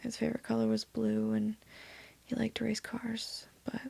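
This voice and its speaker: Keeping a moderate pace, this speaker is soft-spoken. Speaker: ASMR storyteller. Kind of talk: reading aloud.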